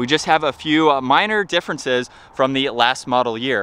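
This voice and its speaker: At a moderate pace, a man speaks in a bright, sharp tone, the sound dry with no echo. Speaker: car reviewer. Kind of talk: commentary. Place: street. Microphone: phone near.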